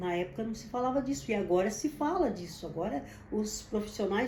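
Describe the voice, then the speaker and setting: A woman's fairly high, dark, mellow voice with vocal fry, at a moderate pace, with audible room echo. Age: 70s. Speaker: business founder. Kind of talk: personal testimony and advice to camera. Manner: halting, with repetitions.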